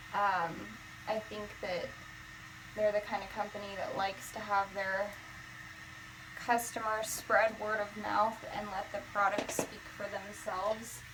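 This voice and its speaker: A woman at a medium pitch speaks fairly slowly in a monotone, flat delivery. Her talk has long, frequent pauses, and noticeable background noise can be heard. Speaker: beauty vlogger. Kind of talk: hair tutorial.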